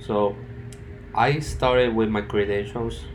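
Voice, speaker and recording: A man's very slow, fairly low voice in a strong Spanish accent, with audible room echo. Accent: thick Spanish. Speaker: student. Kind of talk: project presentation. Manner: halting.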